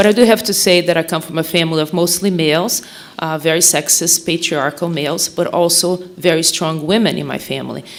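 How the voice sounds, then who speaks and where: Against noticeable background noise, a woman with a Portuguese accent and a fairly low voice talks at a fairly quick pace with fairly even intonation. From Brazil. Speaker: mental health nonprofit director. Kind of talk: speech at a forum.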